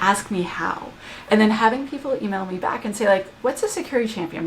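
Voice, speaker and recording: Over noticeable background noise, a woman with a Canadian accent speaks at a fairly quick pace in an animated tone with lively intonation. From Canada. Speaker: application security expert and author. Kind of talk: podcast interview.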